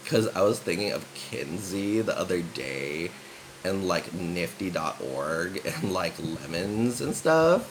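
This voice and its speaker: Through noticeable background noise, a man with an American accent and a very deep, low pitch speaks at a very slow pace with lively intonation. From San Francisco, US. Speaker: vlogger. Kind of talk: casual chat. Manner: subdued.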